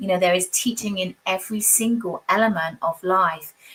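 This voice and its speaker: This woman has a British accent and a medium pitch. Her intonation stays fairly even. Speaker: tarot reader. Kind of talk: live tarot reading. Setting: livestream. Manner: fast.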